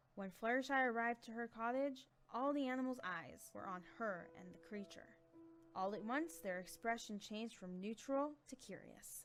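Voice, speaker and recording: Lively intonation over music in the background. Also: woman, fairly high pitch for a woman, moderate pace, big swings in loudness. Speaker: voice actor. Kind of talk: story narration.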